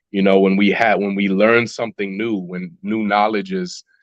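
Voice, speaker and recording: This man has a Chicago accent and talks at a moderate pace. The sound is dry and close, with no echo. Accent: Chicago American English. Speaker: rapper. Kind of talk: podcast interview. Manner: halting.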